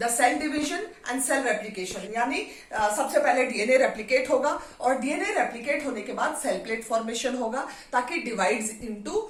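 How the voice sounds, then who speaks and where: A woman's high voice moves with lively intonation. Noticeable background noise and audible room echo surround her. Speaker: biology teacher. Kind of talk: lecture. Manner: slow.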